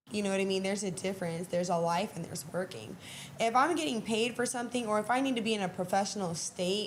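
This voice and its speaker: Over noticeable background noise, a woman talks at a very fast pace at a medium pitch with ordinary pitch variation. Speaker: performer and show organizer. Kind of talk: interview. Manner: casual, with many fillers.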